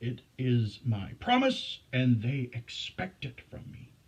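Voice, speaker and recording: This is a put-on character voice at a low-to-middle pitch. It moves at a fairly slow pace. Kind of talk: Shakespearean stage verse. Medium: stage play. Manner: commanding, formal verse speech.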